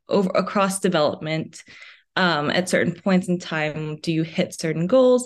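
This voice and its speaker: A woman with a normal speaking voice, fairly low in pitch, with ordinary pitch variation, a fairly slow pace and an American accent. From New York City and New Jersey. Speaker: psychology grad student. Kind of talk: podcast interview.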